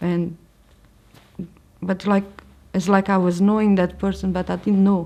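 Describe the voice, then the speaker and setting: A woman speaks with a Portuguese accent in a dark, mellow tone. Her intonation is monotone and flat. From Portugal. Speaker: religious convert sharing her story. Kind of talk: testimony. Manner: halting, with frequent fillers and restarts.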